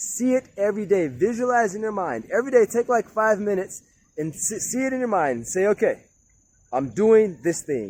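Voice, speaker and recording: Loud and animated, a man with a high pitch speaks at a moderate pace. His intonation is lively. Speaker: motivational speaker. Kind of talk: motivational talk. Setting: outdoors.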